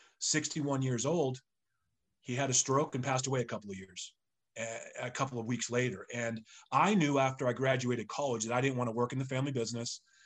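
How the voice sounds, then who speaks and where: An unremarkable speaking voice from a man with an American accent, medium pitch, fairly even intonation and a fairly quick pace over a quiet background. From eastern Massachusetts (Sharon). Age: 50s. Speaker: real estate agent trainer and investor. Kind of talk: casual interview.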